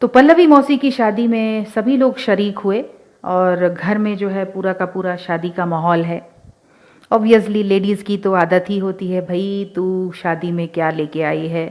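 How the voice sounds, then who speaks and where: Medium in pitch with ordinary pitch variation, a woman talks in an ordinary speaking voice. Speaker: radio show host and author. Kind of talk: radio show storytelling narration. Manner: casual, conversational.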